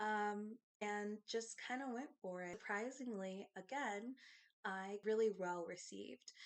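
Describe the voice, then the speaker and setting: This woman has an American accent, a medium pitch, ordinary pitch variation and a fairly slow pace. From US Midwest. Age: 30s. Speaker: lifestyle YouTuber. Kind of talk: casual vlog talk to camera.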